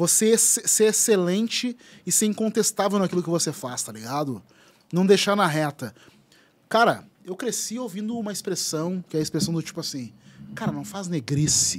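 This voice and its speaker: A man talks with lively intonation at a moderate pace. His voice sits high in pitch. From southern Brazil (Rio Grande do Sul). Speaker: writer and content creator; content creator. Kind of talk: casual chat. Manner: animated. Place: studio. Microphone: studio mic.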